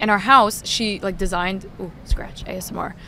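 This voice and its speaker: The woman's pitch is medium, with ordinary variation. She speaks at a moderate pace. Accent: slight New York. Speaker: sports talk show host. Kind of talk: casual chat. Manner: loud.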